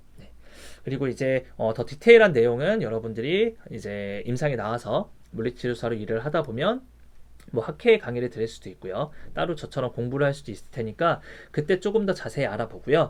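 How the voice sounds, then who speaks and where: A man speaks at a fairly quick pace and a medium pitch. His intonation is lively, and his loudness swings widely. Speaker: university lecturer in physical therapy. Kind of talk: recorded online lecture. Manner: fast.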